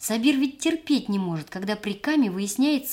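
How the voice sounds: Someone reads in a natural voice. The intonation is lively throughout.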